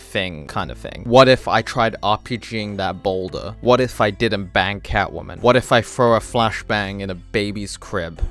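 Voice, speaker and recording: Music plays in the background as a man with fairly low pitch talks at a moderate pace. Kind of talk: comedic video essay narration. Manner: monotone.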